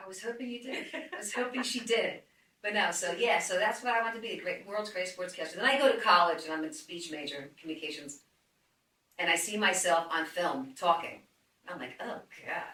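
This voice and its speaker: In a New Jersey accent, a woman with a medium pitch talks at a fairly quick pace in an animated tone, her intonation lively and her loudness swinging widely, with audible room echo. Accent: New Jersey, noticeable. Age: 60s. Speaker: fitness trainer. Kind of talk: casual chat.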